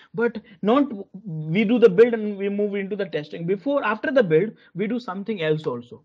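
A man's lively intonation stands out over a quiet background. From India. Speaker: corporate software trainer. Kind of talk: live online training lecture. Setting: video call. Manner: halting, many fillers and repetitions. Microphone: video call.

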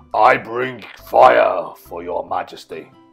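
A man performs a put-on character voice. Faint music plays in the background. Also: fairly slow pace. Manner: roaring, booming.

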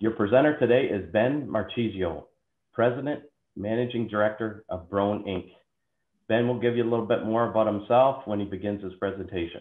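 A man with an ordinary speaking voice, fairly low in pitch, at a fairly quick pace with ordinary pitch variation. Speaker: sales executive hosting a webinar. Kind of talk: webinar introduction. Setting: video call.

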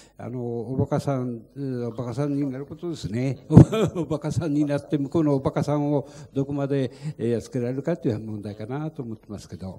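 Against noticeable background noise, a man with a dark, mellow tone talks at a fairly quick pace, with big swings in loudness and ordinary pitch variation. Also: fairly high pitch for a man. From Fukushima, Minamisoma; Fukushima. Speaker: lead plaintiff, evacuee; panelist. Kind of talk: panel discussion. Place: meeting room. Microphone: handheld.

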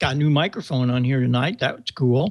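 The voice is somewhat breathy and fairly slow, recorded dry with no echo over noticeable background noise. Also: man. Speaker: show host. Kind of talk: show host commentary. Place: home room. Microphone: studio mic.

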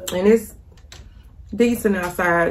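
A woman at a fairly slow pace with ordinary pitch variation over noticeable background noise. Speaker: vlogger. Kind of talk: casual vlog chat while eating. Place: kitchen. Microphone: phone near.

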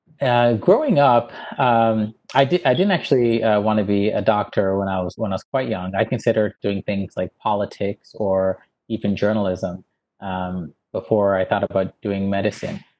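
A man's fairly low voice at a moderate pace, with ordinary pitch variation. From Newfoundland, Canada (St. John's West End); Newfoundland. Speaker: dermatologist and professor; professor. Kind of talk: interview. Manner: hesitant, many fillers. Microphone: earbuds.

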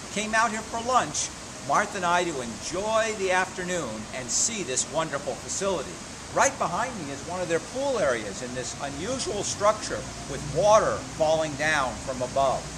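A man's voice with very wide pitch swings at a moderate pace, over noticeable background noise. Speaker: motivational speaker. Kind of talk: casual vlog chat. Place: street. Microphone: phone near.

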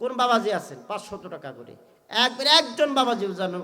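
A man speaks in a raised, projected voice with an animated tone and very wide pitch swings. Noticeable noise sits in the background. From Bangladesh, Tangail area. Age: 30s. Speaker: Islamic preacher. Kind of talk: sermon. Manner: loud.

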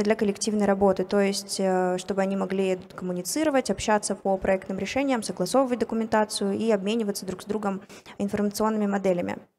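A woman at a fairly quick pace. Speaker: software product specialist; conference presenter. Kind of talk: conference talk. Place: hall. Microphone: handheld.

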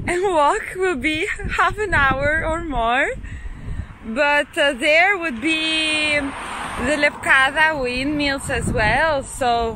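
With a raised, projected voice, a woman speaks at a very slow pace. Light background noise can be heard. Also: dry sound with no echo. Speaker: travel vlogger. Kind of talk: casual vlog chat. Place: street. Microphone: phone near.

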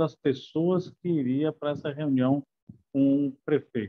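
With a quiet background behind him, a man keeps his intonation fairly even. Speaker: friend of the deceased. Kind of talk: eulogy. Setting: video call. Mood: warm, nostalgic, somewhat sad. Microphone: earbuds.

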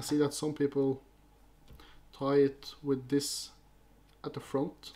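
A man with a Norwegian accent, a dark, mellow tone and monotone, flat intonation. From Norway. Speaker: fly-tying youtuber. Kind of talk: tutorial. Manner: halting. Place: home room.

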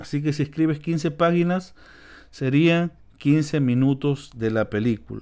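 On a very clean recording with a silent background, a man speaks in a plain, everyday voice. His pitch is fairly high with ordinary variation, and his pace is fairly slow. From Peru, Lima. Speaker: YouTube instructor. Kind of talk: tutorial. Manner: casual, with fillers.

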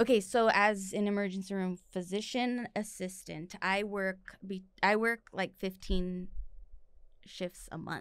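A woman with an American accent talks at a fairly slow pace with fairly even intonation against a quiet background. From East Los Angeles, California; California. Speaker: physician assistant; podcast guest. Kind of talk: casual chat. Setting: studio. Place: studio. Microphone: studio mic.

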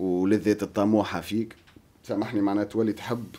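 A man talks in a Tunisian accent at a fairly low pitch. His delivery is fairly slow, with monotone, flat intonation. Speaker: musician, rapper. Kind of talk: casual interview chat. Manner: halting, code-switching. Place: studio. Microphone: studio mic.

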